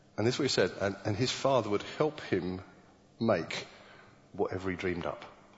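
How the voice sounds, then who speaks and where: A man with a British accent, ordinary pitch variation, long and frequent pauses, and audible room echo. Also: fairly low pitch for a man, fairly quick pace. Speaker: preacher. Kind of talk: sermon. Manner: halting, with many repeated words.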